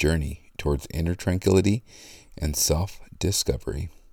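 Very deep and low, a man's voice has a gentle, calm tone and vocal fry. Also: very clean recording, silent background. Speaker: podcast host. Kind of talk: guided meditation. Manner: calm, slow, soothing; gentle and measured, with pauses for breathing.

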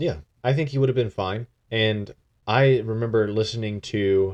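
A man with an unremarkable speaking voice talks at a fairly low pitch and a moderate pace. His pitch varies in an ordinary way against a quiet background. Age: 20s. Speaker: podcast co-host. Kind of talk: casual chat. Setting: studio.

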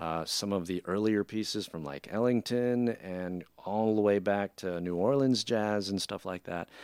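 An unremarkable speaking voice moves at a moderate pace with ordinary pitch variation and hardly any pauses. The sound is dry and close with no echo, in a very clean recording with a silent background. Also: man, fairly low pitch for a man. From Filipino-American family. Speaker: jazz band leader and musician. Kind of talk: casual interview chat.

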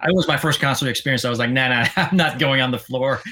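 A man with a Quebec accent, medium pitch and a bright, sharp tone, on a very clean recording with a silent background. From Quebec, Sherbrooke. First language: French. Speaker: former podcast co-host, metal fan. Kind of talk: casual interview chat. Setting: live stream.

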